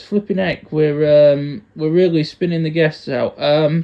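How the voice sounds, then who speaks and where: Here a man speaks with a dark, mellow tone at a fairly high pitch. His pace is fairly slow. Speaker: podcast host. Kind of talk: casual chat. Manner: hesitant, many fillers.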